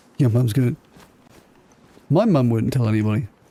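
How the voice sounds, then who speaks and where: Fairly quick speech from a man at a medium pitch. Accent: southern English. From southern England (Southampton). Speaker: gaming streamer. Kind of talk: casual chat. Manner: slurring.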